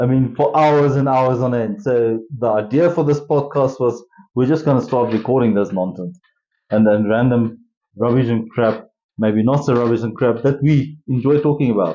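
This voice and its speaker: In a South African accent, a man talks at a moderate pace and a medium pitch. His loudness stays very even, with ordinary pitch variation. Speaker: podcast co-host. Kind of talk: casual chat.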